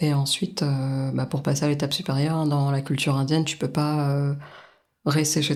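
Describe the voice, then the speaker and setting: Her pitch is very deep and low for a woman, and her tone is dark and mellow. The woman speaks at a moderate pace. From France. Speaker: guest sharing personal experience. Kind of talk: testimony interview. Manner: hesitant, many fillers.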